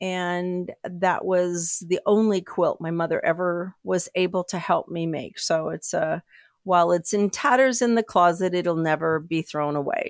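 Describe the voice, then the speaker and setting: A woman with a plain, everyday voice speaks at a fairly low pitch, with ordinary pitch variation and a fairly slow pace with hardly any pauses. The sound is dry and close with no echo, on a very clean recording with a silent background. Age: 60s. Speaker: quilter and podcast listener. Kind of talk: interview.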